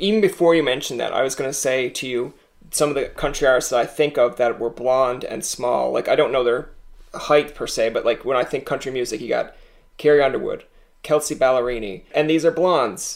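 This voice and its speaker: A man speaks at a fairly quick pace. His fairly high voice has ordinary pitch variation. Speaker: podcast host. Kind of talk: casual, joking interviewer.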